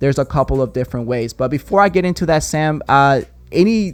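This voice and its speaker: A man speaks with a strong non-native accent. His pace is fairly quick, and his pitch varies in an ordinary way. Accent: very strong non-native. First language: not English; English is fourth language. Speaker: video production agency owner. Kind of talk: podcast interview.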